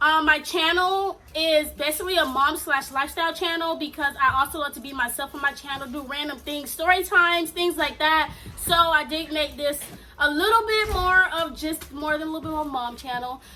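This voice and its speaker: Her voice raised and projected, a woman speaks at a moderate pace in a high pitch with big swings in loudness. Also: ordinary pitch variation. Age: 20s. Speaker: mom vlogger. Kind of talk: casual vlog Q&A. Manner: casual, hesitant with fillers.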